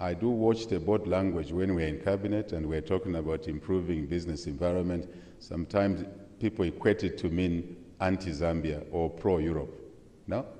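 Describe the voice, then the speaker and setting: Pausing long and often, a man speaks with a very deep, low pitch, a dark, mellow tone and fairly even intonation. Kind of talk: formal speech with asides. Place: hall. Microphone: podium.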